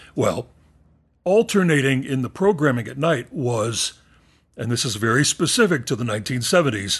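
With an American accent, a man speaks at a moderate pace with lively intonation. He sounds somewhat breathy over a quiet background. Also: medium pitch for a man. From Texas and southeastern New Mexico. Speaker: podcast host. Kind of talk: casual chat.

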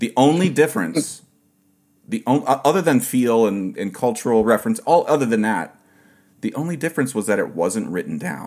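A medium-pitched man with an American accent, vocal fry, very wide swings in pitch, and a moderate pace. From Ohio, US. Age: 40s. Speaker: podcast host, steel pan player. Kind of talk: casual interview.

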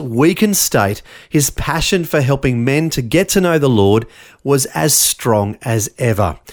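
With an Australian accent, a man speaks at a moderate pace using lively intonation. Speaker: radio host. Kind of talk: scripted narration.

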